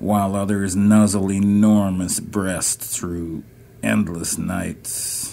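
Raspy and gravelly, a man's very deep, low voice moves at a very slow pace. His pitch varies in an ordinary way. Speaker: poet. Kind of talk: poetry reading.

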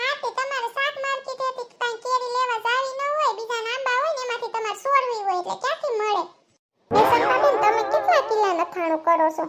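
In a squeaky, cartoonish character voice, a female-sounding speaker talks at a moderate pace with an extremely high pitch for a woman. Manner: gossipy, wheedling.

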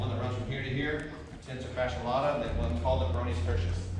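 The man's voice rings with strong room echo amid noticeable background noise. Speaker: clinic instructor. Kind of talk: lecture. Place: hall. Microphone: camera far.

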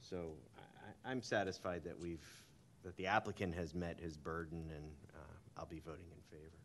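A man speaks at a very deep, low pitch and a fairly quick pace, with fairly even intonation, big swings in loudness, long, frequent pauses, and light background noise. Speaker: zoning board chair. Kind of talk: formal public hearing. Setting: public board hearing. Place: hall. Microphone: podium.

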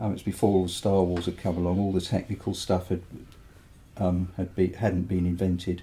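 In an English accent, a man speaks at a very deep, low pitch with a dark, mellow tone that is somewhat breathy. His intonation is monotone and flat, and his pace is moderate. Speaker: mastering engineer and record producer. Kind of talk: interview. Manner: hesitant, many fillers.

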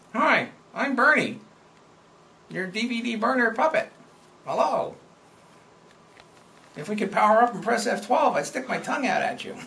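A put-on character voice, fairly high in pitch, at a moderate pace with long, frequent pauses. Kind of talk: comic overacting. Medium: game stream. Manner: cheeky, silly.

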